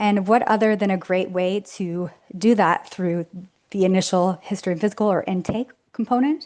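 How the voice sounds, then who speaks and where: A woman is speaking against a quiet background. Her pitch varies in an ordinary way. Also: medium pitch for a woman. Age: 40s. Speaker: physician lecturer. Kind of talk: lecture. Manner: fast.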